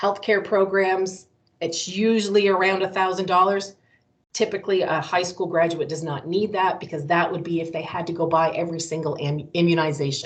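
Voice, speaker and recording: Fairly quick delivery pairs with fairly even intonation in this speech. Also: woman, fairly low pitch for a woman. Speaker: college recruiter. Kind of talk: presentation. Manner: fast.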